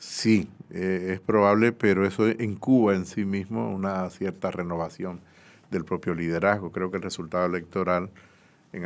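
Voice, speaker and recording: Fairly even intonation from a man with a very deep, low pitch. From Dominican Republic. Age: 50s. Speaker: economist; guest. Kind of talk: interview. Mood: calm, explanatory. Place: studio. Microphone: studio mic.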